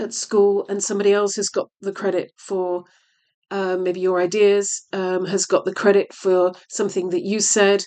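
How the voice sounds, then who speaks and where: Her voice sits at a medium pitch as the woman speaks in a monotone, flat way. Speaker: tarot reader. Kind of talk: tarot reading. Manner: halting, hesitant.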